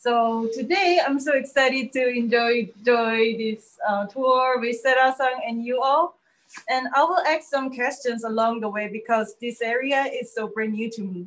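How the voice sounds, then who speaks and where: A woman with a Korean accent, high pitch, ordinary pitch variation and a moderate pace. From South Korea. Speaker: first-time visitor on tour. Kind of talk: casual chat. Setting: outdoors.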